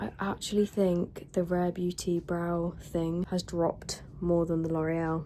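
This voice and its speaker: A woman speaks over noticeable background noise. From southern England. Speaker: beauty vlogger. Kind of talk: casual vlog review. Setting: home, windows open.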